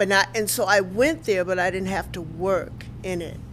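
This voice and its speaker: The voice has vocal fry and a Southern US accent. Its intonation is lively and the pace fairly slow. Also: woman. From Mississippi, US South. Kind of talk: oral history interview answer.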